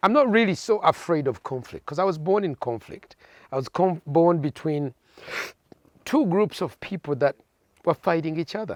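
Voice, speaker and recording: A high-pitched man with lively intonation and long, frequent pauses, dry and close with no echo, on a very clean recording with a silent background. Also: moderate pace. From Uganda (Masaka, Buganda). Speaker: pastor. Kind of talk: interview.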